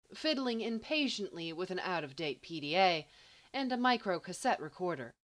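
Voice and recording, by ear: Reading aloud in a natural voice, the speaker keeps the intonation lively.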